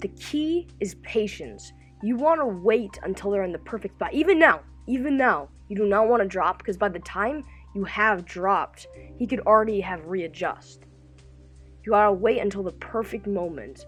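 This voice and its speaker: Over music in the background, a woman speaks at a moderate pace. Her pitch is medium and her intonation lively. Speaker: gaming YouTuber. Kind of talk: gameplay tutorial voiceover. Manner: upbeat.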